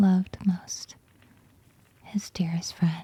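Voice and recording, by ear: A woman speaks slowly in a dark, mellow tone with a slightly husky edge and a fairly low pitch. Her pitch moves little, and the sound is dry and close with no echo.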